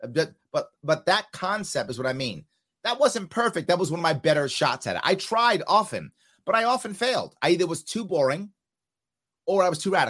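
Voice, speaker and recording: The speaker talks fairly quickly with a New York accent and lively intonation. The background is quiet. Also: man, high pitch for a man. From New York City (South Bronx), then Long Island. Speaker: entrepreneur, former political candidate, veteran. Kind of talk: casual interview conversation.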